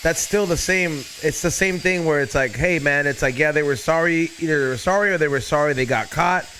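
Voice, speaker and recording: Noticeable background noise runs under the speech. The loudness stays very even. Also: man, fairly high pitch for a man, ordinary pitch variation, fairly quick pace. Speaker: podcast host. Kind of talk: casual chat.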